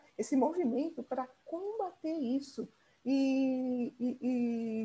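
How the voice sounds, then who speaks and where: A woman's high voice carries a dark, mellow tone. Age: 60s. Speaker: podcast host. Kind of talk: interview.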